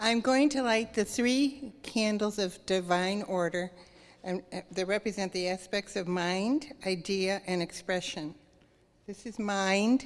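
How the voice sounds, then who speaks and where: This woman's voice sits at a medium pitch and moves with ordinary variation. She talks at a fairly slow pace. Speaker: church service participant. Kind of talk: ceremony speech. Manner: quiet at first. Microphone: microphone issues.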